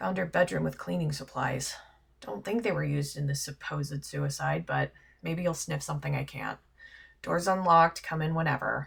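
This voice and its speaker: This raspy, put-on character voice moves at a moderate pace. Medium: actual play. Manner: clipped, matter-of-fact.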